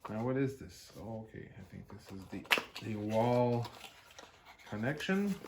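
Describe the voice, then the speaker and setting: Speaking with a French Canadian accent, a man talks at a fairly slow pace with ordinary pitch variation. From French Canada (Quebec region). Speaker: YouTuber, jeep and drone hobbyist. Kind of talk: unboxing video. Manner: hesitant, many fillers.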